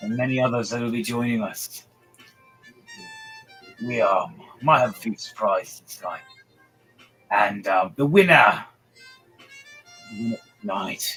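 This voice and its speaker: A put-on character voice comes at a fairly slow pace. Faint music sits in the background. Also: man, medium pitch for a man. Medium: actual play. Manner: gruff, rambling.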